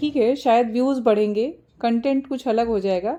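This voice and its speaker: A woman with a dark, mellow tone and fairly high pitch speaks at a moderate pace. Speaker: vlogger, housewife. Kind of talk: casual vlog talk. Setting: hospital.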